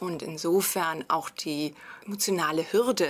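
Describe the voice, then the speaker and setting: Delivered at a fairly slow pace with fairly even intonation, this is a plain, everyday voice. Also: woman. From Germany. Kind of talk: interview.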